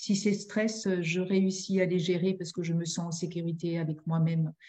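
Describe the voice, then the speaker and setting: A woman's somewhat breathy voice with a dark, mellow tone, fairly low in pitch, with monotone, flat intonation at a moderate pace. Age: 60s. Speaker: family therapist and mediator. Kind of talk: interview. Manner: halting.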